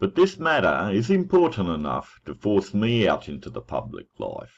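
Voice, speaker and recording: A man with a fairly low pitch and vocal fry speaks at a moderate pace. His pitch swings very widely and his loudness shifts a lot. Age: 60s. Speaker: website owner and parenting advocate. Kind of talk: personal introduction monologue.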